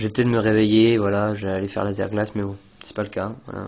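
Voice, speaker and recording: A man speaks with a fairly low pitch. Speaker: gaming commentator. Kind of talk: game commentary. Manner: halting. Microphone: phone recording.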